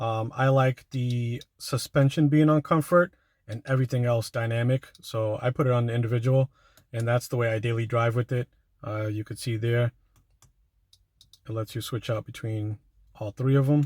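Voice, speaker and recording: A man at a medium pitch speaks at a moderate pace, somewhat breathy, with fairly even intonation and long, frequent pauses. The recording is very clean with a silent background and a dry, close sound with no echo. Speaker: car reviewer. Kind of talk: product review walkthrough. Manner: monotone.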